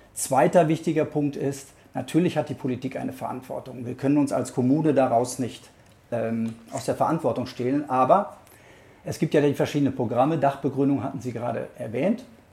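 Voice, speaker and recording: A man's fairly high, somewhat breathy voice with a dark, mellow tone, a fairly quick pace and ordinary pitch variation. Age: 50s. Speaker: local mayoral candidate and lawyer. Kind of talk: interview answers.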